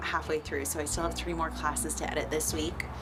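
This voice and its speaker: Her voice comes through audible room echo, with noticeable background noise around it. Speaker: fitness coach and app creator. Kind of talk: vlog. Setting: at home.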